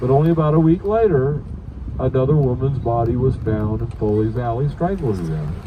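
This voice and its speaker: A man with an American accent talks at a fairly quick pace and a medium pitch, his pitch swinging very widely over noticeable background noise. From Savannah, Georgia. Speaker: ghost tour guide. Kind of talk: ghost story told on a guided hearse tour. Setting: moving vehicle, outdoors city tour.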